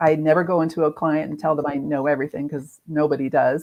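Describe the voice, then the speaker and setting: At a fairly quick pace, a woman talks in a very deep, low voice with vocal fry. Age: 60s. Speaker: graphic designer and author, breast cancer survivor. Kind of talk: interview conversation.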